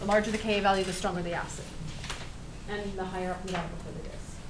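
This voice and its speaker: Audible room echo and noticeable background noise come through as a woman talks. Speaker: chemistry teacher. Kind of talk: classroom lecture. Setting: classroom with students.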